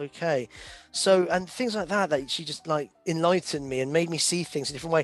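A man's high-pitched voice in a British accent, fairly quick, with ordinary pitch variation and music in the background. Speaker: events industry professional. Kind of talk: casual interview. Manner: halting.

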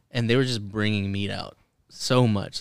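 A man talks at a moderate pace with fairly even intonation and an ordinary speaking voice. The recording is very clean, with a silent background. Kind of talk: casual chat. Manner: profane, joking.

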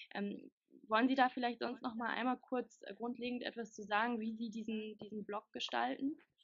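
Her voice fairly high in pitch, a woman talks at a moderate pace with fairly even intonation. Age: 20s. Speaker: interviewer, working student. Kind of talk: interview. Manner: hesitant, many filler sounds.

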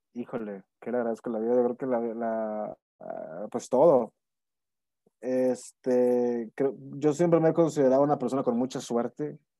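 This man speaks at a fairly slow pace in a medium pitch with ordinary pitch variation and a dark, mellow tone, recorded dry and close with no echo. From Monterrey, Nuevo León, Mexico. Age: 30s. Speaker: actor. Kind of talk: casual interview. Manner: halting, many repetitions and fillers.

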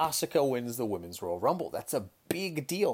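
An animated man with an American accent speaks at a medium pitch with very wide pitch swings. The recording is very clean, with a silent background. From Hong Kong. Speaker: podcast host and kettlebell coach. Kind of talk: casual monologue.

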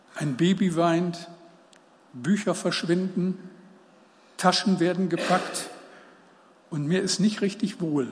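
Over audible room echo, a man talks at a very slow pace with long, frequent pauses, using a high pitch and ordinary pitch variation. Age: 70s. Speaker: preacher. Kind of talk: sermon.

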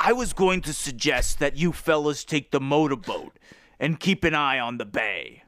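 In a very clean recording with a silent background, someone does a put-on character voice with ordinary pitch variation. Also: man, fairly high pitch for a man, moderate pace. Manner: calm, authoritative.

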